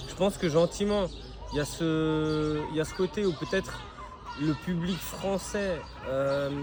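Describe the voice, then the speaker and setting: Over noticeable background noise, a man with a fairly high pitch talks at a fairly slow pace, with long, frequent pauses. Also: fairly even intonation. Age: 30s. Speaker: professional MMA fighter. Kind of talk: interview. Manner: hesitant, many fillers.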